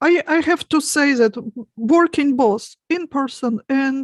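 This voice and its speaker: A woman speaks in a Russian accent. Her pace is fairly slow over a quiet background. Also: dry, close sound with no echo. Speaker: hypnotist. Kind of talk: panel discussion.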